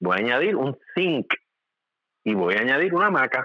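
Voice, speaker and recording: A man is speaking. His pitch is medium. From Puerto Rico, Ponce. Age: 40s. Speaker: medical doctor. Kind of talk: casual interview.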